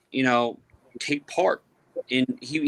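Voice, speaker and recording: With an American accent, a man speaks at a medium pitch in a bright, sharp tone, using ordinary pitch variation in a dry, close sound with no echo. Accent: Boston accent, toned down. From Boston. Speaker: airsoft podcast panelist. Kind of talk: casual chat.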